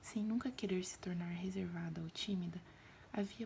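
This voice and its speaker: A woman's soft-spoken, gentle tone at a medium pitch, with noticeable background noise. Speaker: ASMR creator. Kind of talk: audiobook-style reading. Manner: soft-spoken, gentle, ASMR style.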